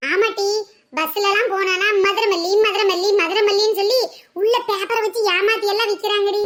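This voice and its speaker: In a cartoonish character voice, a woman speaks at an extremely high pitch with monotone, flat intonation and a moderate pace. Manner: questioning, fretful.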